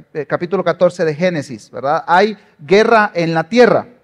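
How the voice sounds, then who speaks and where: A man at a high pitch, with ordinary pitch variation and a moderate pace. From Guatemala. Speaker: pastor. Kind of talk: sermon.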